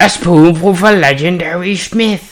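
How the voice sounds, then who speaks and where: This put-on character voice sits at a middle pitch. It moves at a fairly slow pace. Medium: actual play. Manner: excitable, repetitive, fussy.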